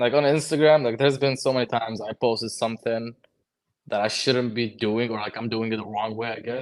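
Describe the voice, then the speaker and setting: A man with a Lebanese accent at a medium pitch, very fast pace and ordinary pitch variation. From Lebanon. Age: 20s. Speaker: HVAC technician and social media creator. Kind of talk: casual chat.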